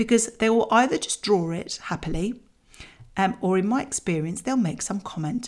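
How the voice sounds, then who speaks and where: A woman speaks in a British accent. Her pitch is fairly high and her pace moderate. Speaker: parenting podcast host. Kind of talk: scripted solo podcast talk. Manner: chatty, conversational.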